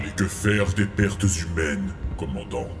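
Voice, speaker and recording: Over loud background noise, a man in a put-on character voice speaks at a very deep, low pitch and a moderate pace. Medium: fan dub. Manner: terse, clipped, formal.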